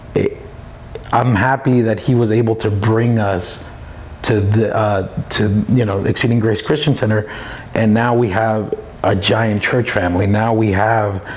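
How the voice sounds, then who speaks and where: A man with an American accent, fairly low pitch, a fairly slow pace, fairly even intonation and very even loudness, against noticeable background noise. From New York City (Brooklyn). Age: 30s. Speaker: church member. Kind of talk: testimony. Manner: halting, many fillers.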